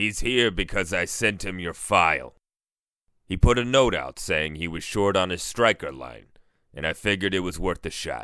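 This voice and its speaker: In a put-on character voice, a man growls out very deep, low, raspy lines at a moderate pace on a very clean recording with a silent background. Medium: audio drama. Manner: earnest, careful.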